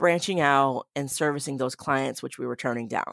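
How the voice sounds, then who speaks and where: A woman speaks with an American accent. The sound is dry and close with no echo, on a very clean recording with a silent background. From Boston. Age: 40s. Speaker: photographer and business owner. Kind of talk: casual interview chat.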